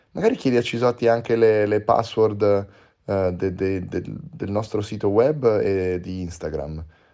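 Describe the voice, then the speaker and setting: A man with a dark, mellow tone speaks at a moderate pace in a fairly low pitch with ordinary pitch variation, against a quiet background. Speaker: podcast host. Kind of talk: casual banter. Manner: teasing, animated.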